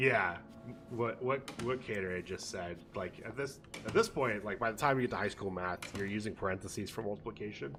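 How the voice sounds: The voice is a natural reading voice. Pitch moves in an ordinary way.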